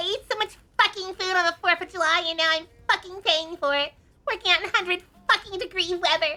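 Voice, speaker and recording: A put-on character voice, female-sounding, squeaky and whiny, extremely high-pitched and very fast. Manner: complaining, whiny.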